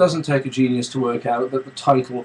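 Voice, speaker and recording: A man talks in a somewhat breathy voice that sits fairly high in pitch. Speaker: vlogger and music composer. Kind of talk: casual webcam vlog. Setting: home studio, webcam. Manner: hesitant, many fillers.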